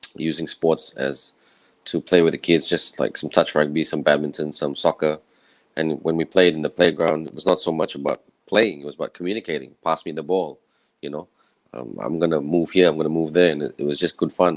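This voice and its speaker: A man with a very deep, low pitch, vocal fry, fairly even intonation and a fairly quick pace. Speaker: master of ceremonies and sports commentator. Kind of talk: panel speech.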